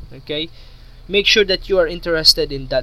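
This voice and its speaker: With a Filipino accent, a man talks at a moderate pace. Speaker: YouTuber. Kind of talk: monologue video talk with motivational advice. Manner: halting, repeats words.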